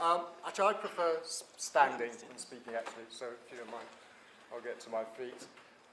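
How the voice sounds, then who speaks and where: A man with a British accent at a moderate pace, amid noticeable background noise. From Britain. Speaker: transatlantic studies expert. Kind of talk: panel talk. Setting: university panel with audience, standing. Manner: hesitant, many fillers.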